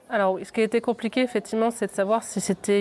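A woman is speaking. Her pace is very fast. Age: 20s. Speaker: aspiring adult trainer, former customer advisor. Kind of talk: interview. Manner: halting, many repetitions and fillers.

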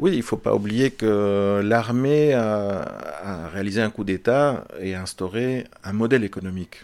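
A man with a fairly low pitch speaks at a fairly slow pace, with ordinary pitch variation and hardly any pauses. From Belgium. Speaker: film director. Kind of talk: interview. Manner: halting, many repetitions and fillers.

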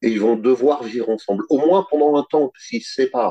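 This man's voice has a dark, mellow tone, recorded dry and close with no echo. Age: 50s. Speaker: finance worker, dominant interviewee. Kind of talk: interview testimony.

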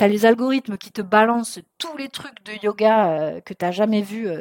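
At a moderate pace, the speech rises and falls with ordinary pitch variation. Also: woman. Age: 30s. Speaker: therapist and anxiety coach podcast host. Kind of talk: solo podcast monologue. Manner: casual, with frequent hesitations.

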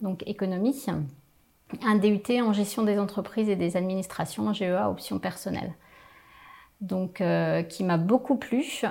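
Her pitch varies in an ordinary way as a woman talks at a medium pitch. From Picardy, northern France. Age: 40s. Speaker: business owner, training company founder. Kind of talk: interview. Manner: hesitant, many fillers.

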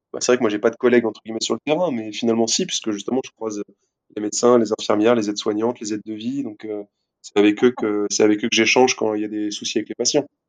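The sound is dry and close, with no echo. A man speaks very fast at medium pitch. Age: 20s. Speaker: physiotherapist. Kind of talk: casual interview. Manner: animated.

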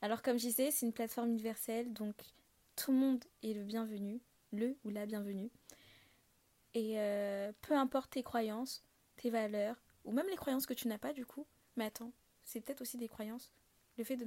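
A woman with fairly high pitch and a dark, mellow tone speaks at a moderate pace with fairly even intonation. Her pauses are long and frequent. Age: 20s. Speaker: podcast host. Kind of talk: solo casual monologue. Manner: hesitant, many fillers.

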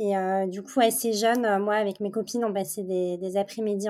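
Flat and monotone, a woman speaks at a fairly slow pace and medium pitch with a dark, mellow tone. The recording is very clean, with a silent background. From France, Paris region, with teen years in Montreal. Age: 30s. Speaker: candle brand founder. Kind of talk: interview. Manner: hesitant, many fillers.

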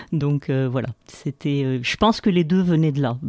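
A woman with a very deep, low pitch and a dark, mellow tone talks at a moderate pace with ordinary pitch variation, recorded dry and close with no echo. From Algeria. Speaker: engineering researcher and lecturer. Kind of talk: interview. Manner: hesitant with fillers.

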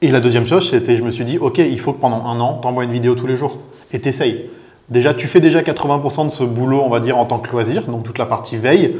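A man delivers his words fairly quickly in a plain, everyday voice, pitched medium. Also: ordinary pitch variation. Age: 30s. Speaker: business executive. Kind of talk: interview.

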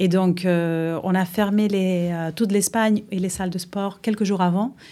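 Someone with a Uruguayan accent talks fairly slowly in a dark, mellow tone, in a very clean recording with a silent background. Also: woman. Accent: Uruguayan Spanish accent in French, sing-song. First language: Spanish (speaking French). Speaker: fitness club general manager. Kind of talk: interview. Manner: hesitant.

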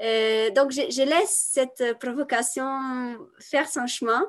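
A woman's high-pitched voice. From Italy. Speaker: women's coach and artist. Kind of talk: podcast interview. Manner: halting, many repetitions and fillers.

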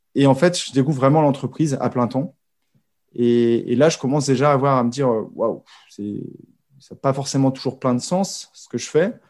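A man's voice with big swings in loudness, long, frequent pauses and ordinary pitch variation. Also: medium pitch for a man, moderate pace. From Brittany, France. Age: 40s. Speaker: podcaster, former corporate employee. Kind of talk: interview conversation. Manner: halting, many hesitations and repetitions.

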